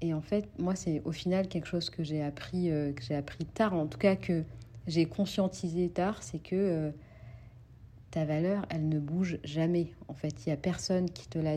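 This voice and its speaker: Her pitch is fairly low for a woman, with ordinary variation. She talks at a fairly slow pace. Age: 20s. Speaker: podcast host. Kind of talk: solo monologue podcast. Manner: halting.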